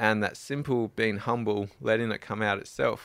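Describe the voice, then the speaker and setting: A man with an Australian accent speaks slowly-ish and fairly low, with fairly even intonation, in a very clean recording with a silent background. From South Australia. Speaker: adventure cyclist. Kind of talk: interview.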